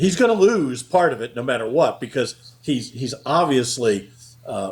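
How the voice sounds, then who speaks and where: Somewhat breathy, a man talks at a medium pitch and a moderate pace with lively intonation. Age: 70s. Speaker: accountant and payroll company founder. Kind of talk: interview. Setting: podcast interview. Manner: frequent fillers and hesitations.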